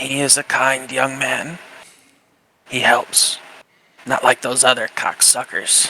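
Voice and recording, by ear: Using a put-on character voice, a man speaks in a raspy, medium-pitched tone at a fairly slow pace. His intonation is monotone and flat, broken by long, frequent pauses.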